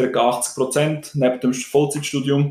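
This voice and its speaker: A man talks at a moderate pace in an unremarkable speaking voice. His pitch is medium. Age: 20s. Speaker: student podcaster. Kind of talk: casual chat.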